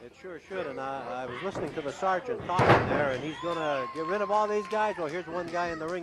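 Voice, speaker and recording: A man with a high pitch talks very fast with hardly any pauses, big swings in loudness and ordinary pitch variation, over noticeable background noise. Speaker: wrestling promotion representative. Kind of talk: sports color commentary.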